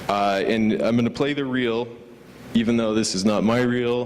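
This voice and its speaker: A man speaks in a monotone with flat intonation, at medium pitch and with a Californian accent. Noticeable background noise is present. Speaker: motion graphics designer. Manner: stuttering; casual, filler-heavy.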